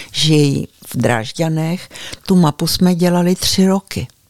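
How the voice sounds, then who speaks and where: A woman speaks in a very deep, low voice at a fairly slow pace. Her pitch varies in an ordinary way, and the sound is dry and close with no echo. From Prague, Czechia. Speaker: local historian and author. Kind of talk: interview. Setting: at her home in the village.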